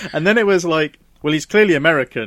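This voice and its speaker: The sound is dry and close, without echo, as a man talks with a British accent. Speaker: podcast co-host. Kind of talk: casual chat.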